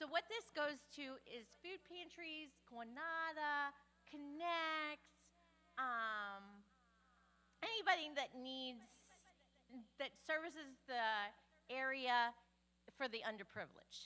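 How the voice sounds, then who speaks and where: A woman with a high pitch and a bright, sharp tone uses a raised, projected voice and lively intonation. She speaks at a very slow pace with long, frequent pauses. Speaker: church volunteer organizer. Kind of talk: church announcement. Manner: loud.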